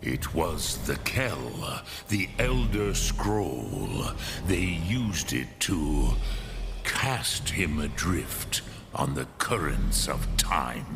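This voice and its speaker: In a put-on character voice, a man speaks very slowly at a very deep, low pitch, with clear background noise behind him. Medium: machinima. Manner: slow, measured, archaic, mixes dragon words.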